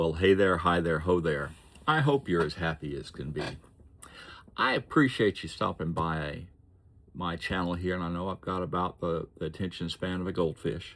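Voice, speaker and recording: Very clean and set against a silent background, this recording features a man with a very deep, low voice. He talks at a moderate pace with ordinary pitch variation. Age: 60s. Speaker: vlogger. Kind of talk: unscripted vlog monologue. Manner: rambling, halting.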